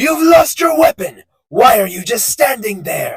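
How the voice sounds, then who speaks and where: A man puts on a cartoonish character voice. He speaks at a moderate pace. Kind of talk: anime dub character impression.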